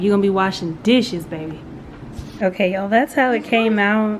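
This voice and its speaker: Noticeable background noise runs behind the speech. A woman of medium pitch talks at a fairly quick pace. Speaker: vlogger. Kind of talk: casual vlog talk. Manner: soft-spoken.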